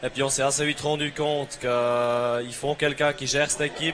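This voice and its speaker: A man with a Swiss German accent, monotone, flat intonation, and noticeable background noise. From Switzerland, Bern. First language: German (speaking French). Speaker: agricultural student, team captain. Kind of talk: interview. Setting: trade fair TV set. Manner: hesitant.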